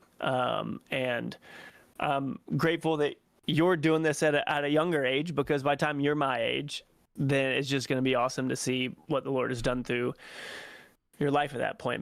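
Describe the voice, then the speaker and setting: Here is a normal speaking voice at a moderate pace with fairly even intonation. The recording is very clean with a silent background. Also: man. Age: 30s. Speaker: Bible study guest. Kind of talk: casual Bible study discussion.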